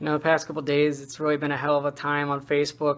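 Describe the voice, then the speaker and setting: This woman talks at a fairly quick pace with a very deep, low pitch. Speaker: security guard. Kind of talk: casual talk to camera.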